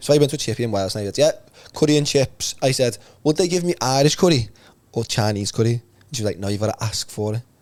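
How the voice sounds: A man talks at a fast pace with a medium pitch and lively intonation. His tone is slightly mellow.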